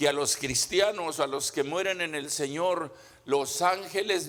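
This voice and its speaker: A man's high-pitched voice at a very slow pace. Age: 70s. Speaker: pastor. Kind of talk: sermon. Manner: halting, paced for live interpreter.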